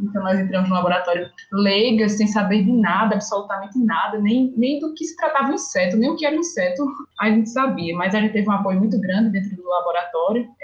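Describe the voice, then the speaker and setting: Talking very fast over noticeable background noise, a woman with a northeastern Brazilian accent holds a medium pitch. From Brazil, Northeast (Alagoas). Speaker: entomology master's student and science communicator. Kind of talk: casual interview.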